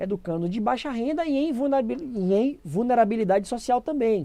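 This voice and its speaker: The tone is dark and mellow, and the intonation is lively. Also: woman. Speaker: educator running a pedagogy channel. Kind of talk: live-streamed lecture.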